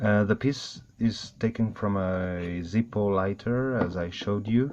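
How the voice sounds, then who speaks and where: A man speaks at a fairly low pitch. His pace is fairly slow. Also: fairly even intonation. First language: not English. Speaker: airsoft hobbyist. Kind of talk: tutorial. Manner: halting.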